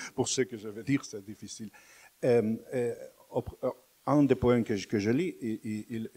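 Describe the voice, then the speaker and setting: A man with a Catalan accent and ordinary pitch variation. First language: Catalan (speaking French). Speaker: poet. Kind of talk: panel discussion. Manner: halting.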